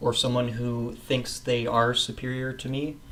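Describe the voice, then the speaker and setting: A man with an American accent speaks at a fairly slow pace in a relaxed tone. There is noticeable background noise. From West Coast of North America. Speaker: English teacher. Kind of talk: casual English lesson to camera. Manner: casual, relaxed.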